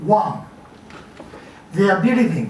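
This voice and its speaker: A man with a French accent speaks in a high voice with ordinary pitch variation. There is audible room echo and noticeable background noise. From France. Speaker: journalist and writer. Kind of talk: conference talk. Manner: formal.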